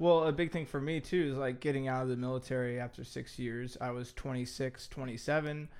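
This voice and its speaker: A man has a plain, everyday voice with a medium pitch. He talks at a fairly quick pace with fairly even intonation. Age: 20s. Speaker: podcast co-host, military veteran. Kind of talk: casual chat.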